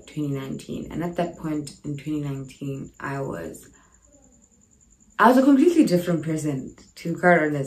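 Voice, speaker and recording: A woman with a very deep, low pitch, a moderate pace, and audible room echo. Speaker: YouTuber. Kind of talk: casual vlog.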